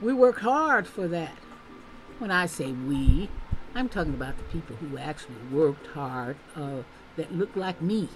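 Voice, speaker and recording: Against background music, a woman speaks at a moderate pace with a very deep, low pitch and long, frequent pauses. Her pitch swings very widely and her loudness varies greatly. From Tennessee. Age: 70s. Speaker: public policy researcher and commentator. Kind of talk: opinion commentary monologue. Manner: animated.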